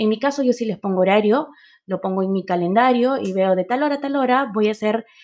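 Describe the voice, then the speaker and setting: This woman has an unremarkable speaking voice at medium pitch. Her intonation is lively. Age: 30s. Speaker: podcast host, marketer and entrepreneur. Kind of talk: solo podcast monologue.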